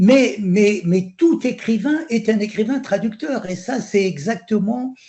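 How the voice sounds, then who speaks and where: Speaking very slowly in an Algerian accent, a man uses a high voice with lively intonation. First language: Algerian Arabic (speaking French). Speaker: poet. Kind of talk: panel discussion. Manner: halting, many repetitions.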